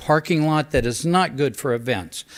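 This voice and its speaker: With an unremarkable speaking voice, a man talks at a fairly high pitch and a moderate pace. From Northern California, St. Helena. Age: 60s. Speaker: public commenter at council meeting. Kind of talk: public comment. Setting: city council meeting.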